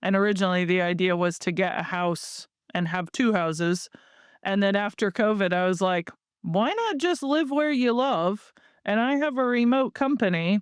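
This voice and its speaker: With an American accent and a plain, everyday voice, a woman speaks at a medium pitch and moderate pace with lively intonation and very even loudness, in a dry, close sound with no echo over a quiet background. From United States. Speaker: marketing agency founder. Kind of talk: podcast interview.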